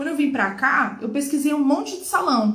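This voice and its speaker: A woman's high-pitched voice at a moderate pace, lively in intonation, with audible room echo. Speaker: nail technician. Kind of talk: casual chat. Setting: live stream.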